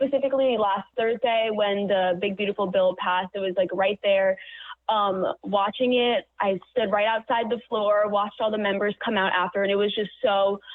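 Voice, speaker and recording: It is an ordinary speaking voice: a woman with an American accent, medium in pitch. She keeps a moderate pace, very even loudness and fairly even intonation. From Florida (Naples). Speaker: college student intern. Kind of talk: radio interview.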